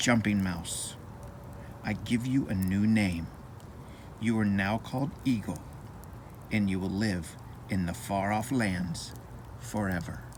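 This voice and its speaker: A man's put-on character voice, gravelly and fairly low, at a fairly slow pace with long, frequent pauses. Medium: read story. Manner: gentle, wise.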